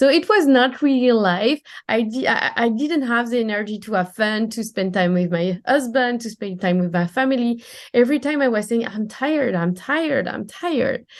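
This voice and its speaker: Against a quiet background, a woman with a strong French accent speaks at a fairly high pitch with lively intonation. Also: moderate pace. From France. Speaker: time management coach. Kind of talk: podcast interview.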